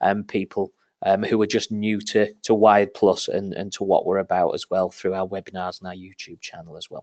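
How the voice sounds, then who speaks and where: Over a quiet background, a man with a northern English accent talks fairly quickly at a fairly low pitch, the sound dry and close with no echo. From northern England. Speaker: marketing manager. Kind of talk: webinar presentation. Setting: webinar. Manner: casual, many filler ums.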